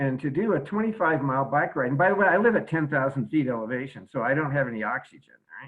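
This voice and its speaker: His intonation is lively. This man speaks very fast. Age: 70s. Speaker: caller. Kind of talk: testimony. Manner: halting.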